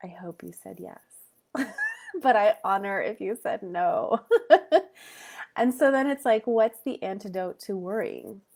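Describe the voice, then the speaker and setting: A woman with a fairly high pitch speaks in an upbeat tone with lively intonation at a fairly slow pace. Her loudness swings widely, and she takes long pauses often. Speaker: meditation guide. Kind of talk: casual talk to live audience.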